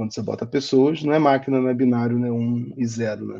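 A man talks at a very fast pace in a medium pitch with a dark, mellow tone. The background is quiet. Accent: Rio de Janeiro. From Rio de Janeiro, Brazil. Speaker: design manager. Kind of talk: interview.

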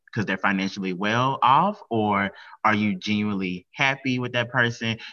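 Speaking in an American accent, a plain, everyday voice goes along fairly quickly, its pitch shifting in an ordinary way. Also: man. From US South. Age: 20s. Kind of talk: casual chat.

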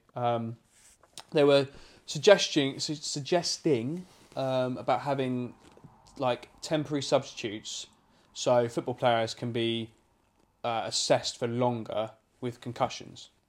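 With an English accent, the speaker moves at a fairly slow pace with long, frequent pauses and ordinary pitch variation on a very clean recording with a silent background. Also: man, medium pitch for a man. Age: 30s. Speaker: podcast co-host, estate agent. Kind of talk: casual chat. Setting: home living room.

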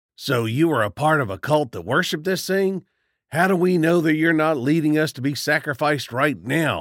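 A man's gruff, put-on character voice, fairly high in pitch, at a moderate pace on a very clean recording with a silent background. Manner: gruff, suspicious.

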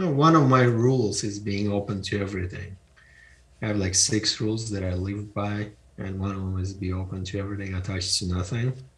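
A man with a fairly low, somewhat breathy voice speaks at a fairly quick pace with fairly even intonation. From Eastern Europe (Ukraine, former Soviet Union). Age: 50s. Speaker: entrepreneur and author. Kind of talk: interview.

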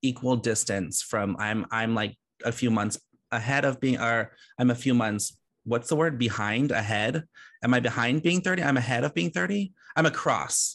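A man talks with lively intonation. He has an ordinary speaking voice. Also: medium pitch for a man, moderate pace, quiet background. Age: 30s. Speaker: podcast host. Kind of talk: casual chat.

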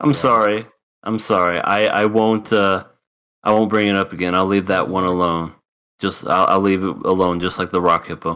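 Here a man talks at a moderate pace with a bright, sharp tone. His pitch is fairly low and his intonation fairly even. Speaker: anime podcast co-host. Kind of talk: casual chat. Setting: remote call.

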